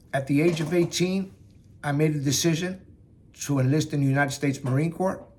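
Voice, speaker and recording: Somewhat breathy and fairly high in pitch, a man speaks with very even loudness and fairly even intonation. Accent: New York. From New York, Bronx/Yonkers. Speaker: Marine veteran speaking on mental health. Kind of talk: personal testimony talk.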